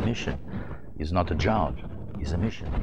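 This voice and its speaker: A man speaks with a very deep, low voice and lively intonation. Room echo can be heard. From Portugal. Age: 50s. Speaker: journalist. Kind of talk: interview. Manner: halting.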